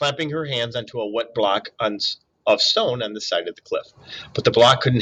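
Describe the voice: Against a quiet background, someone gives a plain reading aloud.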